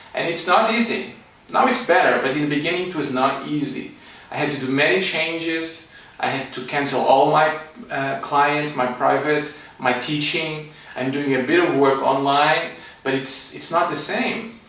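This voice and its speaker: With a Portuguese accent, a man speaks at a moderate pace and fairly high pitch with ordinary pitch variation, amid noticeable background noise and audible room echo. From Portugal. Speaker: energy medicine teacher and psychologist. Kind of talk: online class talk.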